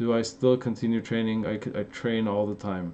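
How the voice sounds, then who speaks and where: At a medium pitch, a man speaks in an Armenian accent. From Los Angeles, Armenian-American. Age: 30s. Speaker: fitness youtuber. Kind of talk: live stream Q&A. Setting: live stream. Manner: casual, animated.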